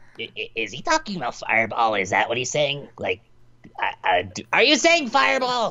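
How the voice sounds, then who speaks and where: A put-on character voice comes through at a low-to-middle pitch and a moderate pace. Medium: actual play. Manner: stammering, hesitant.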